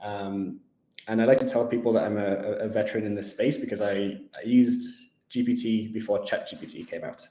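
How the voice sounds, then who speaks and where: A man with a northern English accent, fairly quick pace, big swings in loudness. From northern England. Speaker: tech company executive. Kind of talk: interview. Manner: hesitant, many fillers.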